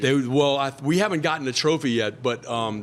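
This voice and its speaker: Delivered with a New Orleans accent, the speech moves at a moderate pace with ordinary pitch variation. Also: man. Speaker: musician. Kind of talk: interview answer.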